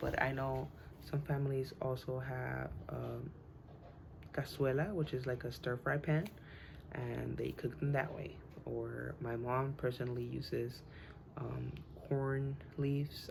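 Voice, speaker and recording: With a Spanish accent, a woman speaks at a moderate pace, leaving long, frequent pauses amid audible room echo. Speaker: student. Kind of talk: class speech. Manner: halting, many fillers.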